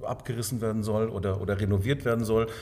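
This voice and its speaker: Somewhat breathy and dark, mellow in tone, a man's voice holds fairly even intonation within audible room echo. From Swabia, southern Germany (Sindelfingen near Stuttgart). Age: 50s. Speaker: hotel owner. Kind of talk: interview.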